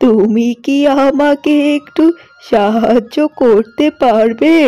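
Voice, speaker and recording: A woman performs a cartoonish character voice with lively intonation. Music plays in the background. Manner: gentle, motherly.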